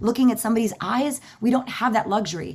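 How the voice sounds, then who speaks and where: The delivery is very fast and somewhat breathy. The tone is animated. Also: woman. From Cuban-American, Miami. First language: Spanish. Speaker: voice actress. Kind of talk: convention panel Q&A.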